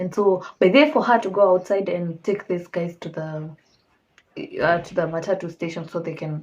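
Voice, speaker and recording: Somewhat breathy, a woman speaks at a moderate pace with a fairly low pitch and fairly even intonation. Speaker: true crime storyteller. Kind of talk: casual storytelling.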